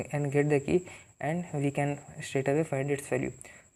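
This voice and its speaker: A man with an Indian accent speaks at a fairly quick pace in a dark, mellow tone, his fairly high pitch held in a flat monotone on a very clean recording with a silent background. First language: Hindi. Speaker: programming tutor. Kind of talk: tutorial. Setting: talking to camera. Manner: halting.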